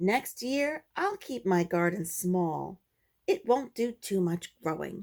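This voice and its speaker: A woman speaks in a put-on character voice at medium pitch and a fairly slow pace. The recording is very clean, with a silent background. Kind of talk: bedtime story. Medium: read story.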